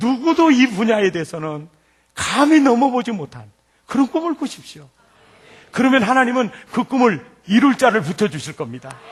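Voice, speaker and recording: A man with a Jeolla accent speaks at a moderate pace in an extremely high pitch, his animated tone swinging very widely in pitch, with long, frequent pauses. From Jeolla province, South Korea. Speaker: pastor. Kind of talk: sermon. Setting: church.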